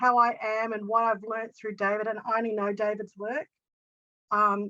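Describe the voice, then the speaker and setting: Bright, sharp tone from a woman with an Australian accent, fairly high pitch, fairly even intonation and moderate pace. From Australia, Sydney. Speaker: coaching student and practitioner. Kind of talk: casual testimony in online group session. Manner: halting, many fillers.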